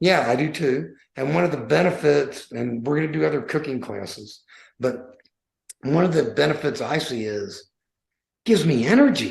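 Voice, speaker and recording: Vocal fry runs through a man's fairly high voice as he speaks at a moderate pace with lively intonation. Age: 60s. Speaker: podcast host, weight loss challenge founder. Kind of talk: casual chat.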